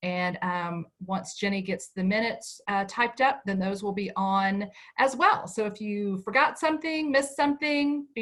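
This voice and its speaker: With a normal speaking voice and an American accent, a woman talks at a moderate pace and fairly high pitch, using lively intonation and hardly any pauses. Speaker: PTO president. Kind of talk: meeting closing remarks.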